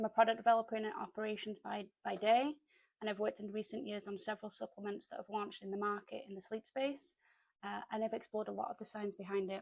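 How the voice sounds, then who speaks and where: A woman's fairly high voice in a British accent, very fast, with ordinary pitch variation. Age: 30s. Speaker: sleep health vlogger. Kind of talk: casual talk to camera.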